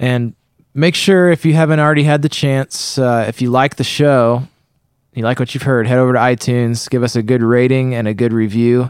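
An ordinary speaking voice from a man with an American accent, medium pitch and fairly even intonation, on a very clean recording with a silent background and dry, close sound with no echo. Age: 20s. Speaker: podcast host. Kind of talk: show intro and promo; casual interview. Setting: studio.

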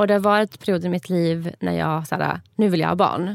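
This woman has a plain, everyday voice, fairly low in pitch and at a fairly quick pace. The recording is very clean, with a silent background. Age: 30s. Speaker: podcast host. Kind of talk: casual chat.

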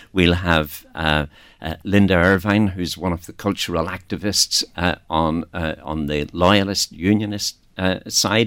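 Over a very clean recording with a silent background, a man with a Northern Irish accent and a very deep, low pitch speaks with long, frequent pauses. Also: fairly even intonation, fairly slow pace. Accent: Northern Irish, noticeable. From Northern Ireland. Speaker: festival organiser. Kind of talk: radio interview.

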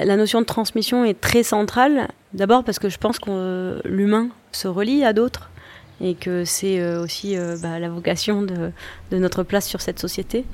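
Here is a woman with an ordinary speaking voice at a medium pitch. She goes at a fairly slow pace with ordinary pitch variation. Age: 40s. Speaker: chef and social entrepreneur. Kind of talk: interview.

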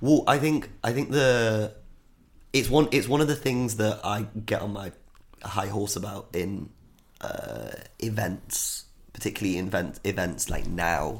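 A man talks with an East Midlands accent and a fairly low pitch. He leaves long, frequent pauses. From Nottingham, English Midlands. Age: 30s. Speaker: DJ and artist. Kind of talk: casual chat.

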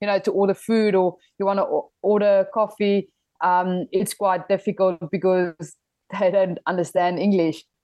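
A woman with a South African accent, medium pitch and a moderate pace. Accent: Afrikaans South African English. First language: Afrikaans. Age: 20s. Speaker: rugby player. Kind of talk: interview.

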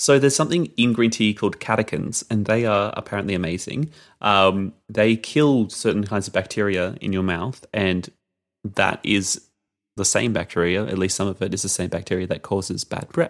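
A man with an Australian accent speaks at a moderate pace, his voice fairly low-pitched. His pitch varies in an ordinary way on a very clean recording with a silent background. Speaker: podcast co-host. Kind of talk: casual chat.

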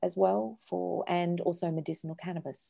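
Someone with an Australian accent speaks at a fairly slow pace. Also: woman. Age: 50s. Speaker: charity co-founder and director. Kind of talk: interview.

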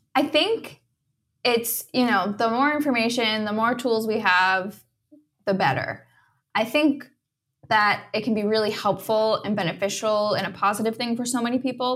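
The speaker uses an ordinary speaking voice, keeping a moderate pace and ordinary pitch variation. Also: woman, fairly high pitch for a woman. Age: 30s. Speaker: dietitian. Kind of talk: interview.

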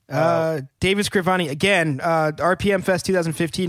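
This man has an unremarkable speaking voice, fairly high in pitch, with ordinary pitch variation. The recording is very clean, and the background is silent. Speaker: band member and podcast host. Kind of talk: casual banter. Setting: studio. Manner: joking.

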